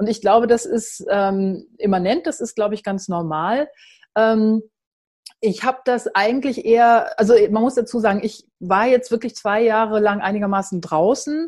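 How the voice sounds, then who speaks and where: A woman speaks at a moderate pace in a normal speaking voice, her fairly high pitch showing ordinary variation. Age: 50s. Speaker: journalist and founder of a women's platform. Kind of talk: online talk presentation.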